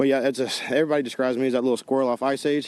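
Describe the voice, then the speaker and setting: Words come out of the man at a very fast pace. His intonation is fairly even. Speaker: drag racer. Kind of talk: post-race interview.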